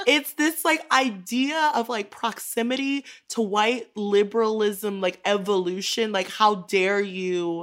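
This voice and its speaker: In an unremarkable speaking voice, the speaker talks at a fairly slow pace with lively intonation. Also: woman. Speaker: writer. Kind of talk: casual chat.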